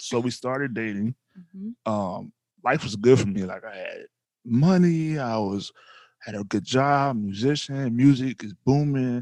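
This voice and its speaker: A Louisiana accent at a fairly slow pace, with lively intonation and big swings in loudness, in a dry, close sound with no echo and a quiet background. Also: man, medium pitch for a man. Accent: Louisiana Southern US. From North Louisiana. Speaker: podcast host, husband. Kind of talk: casual chat.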